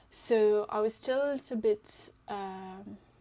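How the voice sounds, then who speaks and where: This woman speaks with a French accent. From France. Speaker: knitting podcaster. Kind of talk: casual chat. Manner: hesitant, many fillers.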